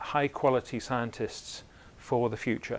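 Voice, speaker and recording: At a moderate pace, a man speaks with ordinary pitch variation. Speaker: invited lecturer. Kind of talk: lecture. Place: hall. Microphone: lapel.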